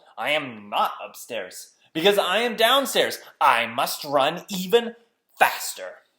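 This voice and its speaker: Using a put-on character voice, the speaker holds a middle pitch and a fairly slow pace. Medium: read story.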